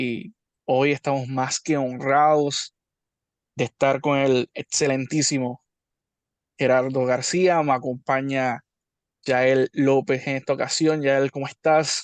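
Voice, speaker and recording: In a Puerto Rican accent, a man with a fairly high pitch talks at a very slow pace with long, frequent pauses, the sound dry and close with no echo over a quiet background. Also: fairly even intonation. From Puerto Rico. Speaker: YouTube interviewer. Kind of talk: interview.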